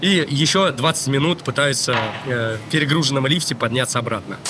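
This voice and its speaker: Lively intonation rides over noticeable background noise as the voice keeps a moderate pace. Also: man. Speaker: travel video blogger. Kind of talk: casual travel vlog.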